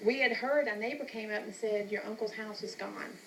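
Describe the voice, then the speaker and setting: Noticeable background noise sits behind a woman with an American accent. Her fairly high voice has monotone, flat intonation. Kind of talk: interview answer.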